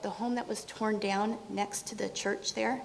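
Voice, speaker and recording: With an American accent, a woman speaks at a moderate pace in a fairly high pitch with monotone, flat intonation, amid noticeable background noise and audible room echo. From California. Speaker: resident giving public comment. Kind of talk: public comment at city council meeting. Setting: city council meeting in city hall.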